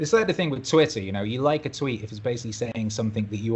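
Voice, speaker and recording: In a British accent, a man talks very fast at a medium pitch, somewhat breathy, with ordinary pitch variation. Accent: British, sometimes mistaken for Australian. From Wales. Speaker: musician and DJ. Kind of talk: podcast interview.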